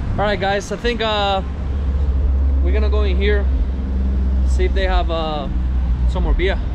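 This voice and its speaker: At a moderate pace, a man speaks with long, frequent pauses over loud background noise. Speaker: travel vlogger. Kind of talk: casual travel vlog narration. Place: street. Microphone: phone near.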